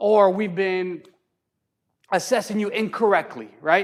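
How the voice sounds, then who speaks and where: Speaking loudly with an American accent, a man comes through on a very clean recording against a silent background. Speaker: county assessor's office outreach specialist. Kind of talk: public workshop presentation. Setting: hall with live audience.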